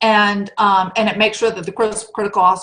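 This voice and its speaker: A woman's medium-pitched voice at a fairly quick pace, with fairly even intonation. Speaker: state rural health program presenter. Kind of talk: conference presentation. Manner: fast.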